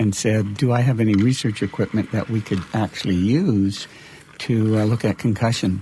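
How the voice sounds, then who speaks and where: A man with a plain, everyday voice, at a medium pitch, with ordinary pitch variation and a moderate pace. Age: 60s. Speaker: exercise physiology professor and researcher. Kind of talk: interview.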